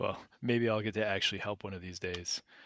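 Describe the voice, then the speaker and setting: In a put-on character voice, a man speaks fairly quickly with a raspy, fairly low-pitched sound and monotone, flat intonation. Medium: actual play.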